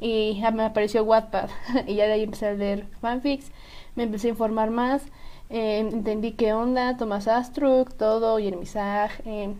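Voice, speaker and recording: In a central Mexican accent, a woman talks at a fairly slow pace with a fairly high pitch, a dark, mellow tone, and monotone, flat intonation. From central Mexico, Estado de México. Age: young. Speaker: podcast co-host. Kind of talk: casual chat.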